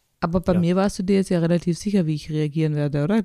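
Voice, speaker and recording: Recorded very cleanly against a silent background with a dry, close sound and no echo, a woman speaks very fast in a fairly low pitch with a dark, mellow tone and fairly even intonation. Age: 40s. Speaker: podcast co-host. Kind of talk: casual chat.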